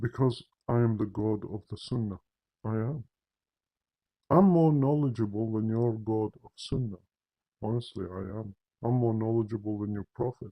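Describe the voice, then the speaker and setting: Speaking at a moderate pace with a non-native accent, a man uses a medium pitch, ordinary pitch variation, and long, frequent pauses. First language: not English. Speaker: religious commentator. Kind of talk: polemical monologue. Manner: animated.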